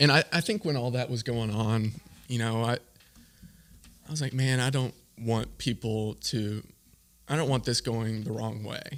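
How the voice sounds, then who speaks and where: In an American accent, a man of medium pitch speaks at a moderate pace with fairly even intonation and long, frequent pauses. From US, Louisville, Kentucky. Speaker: professional baseball pitcher. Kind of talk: casual interview. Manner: halting.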